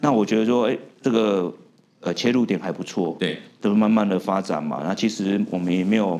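A man with an ordinary speaking voice talks at a fairly quick pace. His pitch is fairly low and varies in an ordinary way. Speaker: tech company founder. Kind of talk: interview.

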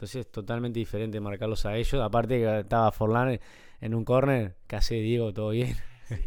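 The speaker talks at a fairly quick pace with a Uruguayan accent. The intonation is monotone and flat. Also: man, medium pitch for a man. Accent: Uruguayan Rioplatense Spanish. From Uruguay, Montevideo (Carrasco). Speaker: former professional footballer, youth football coach. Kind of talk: casual interview chat. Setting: at home.

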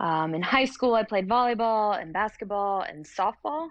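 At a fairly slow pace, a woman with a plain, everyday voice speaks with ordinary pitch variation. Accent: American. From North Carolina (Hickory). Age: 30s. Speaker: CrossFit athlete and university lecturer. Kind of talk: casual interview. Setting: recording studio.

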